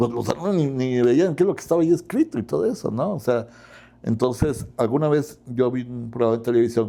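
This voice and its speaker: A man speaks fairly quickly at a medium pitch, with a dark, mellow tone. His intonation is lively, over a quiet background. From Mexico, Huasteca region (Tamaulipas). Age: 60s. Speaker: law professor and lawyer. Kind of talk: interview conversation.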